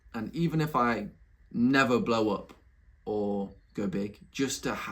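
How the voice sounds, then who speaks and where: With a Nottingham accent, a man speaks in an animated tone with ordinary pitch variation. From England, Nottingham. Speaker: YouTuber, entrepreneur. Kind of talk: casual vlog monologue. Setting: home room, recording at laptop.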